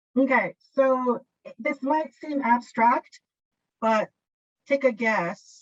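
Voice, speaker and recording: A woman with a Japanese accent speaks at a high pitch. Her pace is very slow. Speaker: workshop presenter, teacher trainer. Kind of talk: workshop presentation. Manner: hesitant, with fillers.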